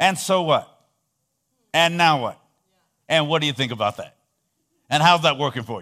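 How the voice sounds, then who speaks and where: Animated in tone, with a bright, sharp voice, a man with a fairly high pitch and ordinary pitch variation speaks at a moderate pace with long, frequent pauses and big swings in loudness, on a very clean recording with a silent background. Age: 60s. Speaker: visiting preacher. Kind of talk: sermon. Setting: church.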